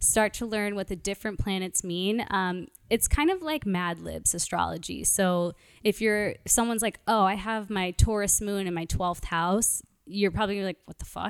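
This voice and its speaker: Speaking with an American accent, a woman uses a normal speaking voice at medium pitch and a moderate pace. Her pitch variation is ordinary, and the recording is very clean with a silent background. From Brooklyn, New York. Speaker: podcast guest, married to co-guest. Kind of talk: casual chat.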